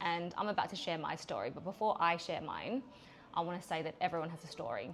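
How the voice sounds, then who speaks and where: Talking at a very fast pace, a woman with a fairly low voice speaks with an Australian accent. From Australia (Adelaide). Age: 40s. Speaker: podcast host and business owner. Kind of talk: personal monologue podcast. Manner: frequent fillers (um); direct.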